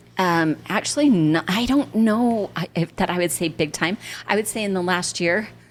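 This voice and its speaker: An unremarkable speaking voice belongs to a woman with an American accent and medium pitch. She talks at a moderate pace with ordinary pitch variation. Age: 60s. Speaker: senior events coordinator. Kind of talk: casual chat.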